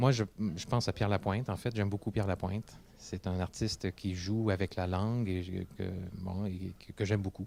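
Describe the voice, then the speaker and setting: Speaking at a moderate pace in a Quebec accent, this man has a fairly low pitch, a dark, mellow tone and fairly even intonation, on a very clean recording with a silent background. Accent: Québécois French. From Quebec City, Quebec. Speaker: English-French interpreter. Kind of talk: interview testimony. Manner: hesitant, many fillers and repetitions.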